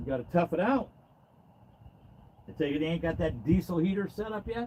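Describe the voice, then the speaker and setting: A loud man's high-pitched voice, dark and mellow in tone, with lively intonation at a fairly quick pace. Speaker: fishing livestreamer. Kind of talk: live stream chat. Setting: outdoors in a boat. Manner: casual.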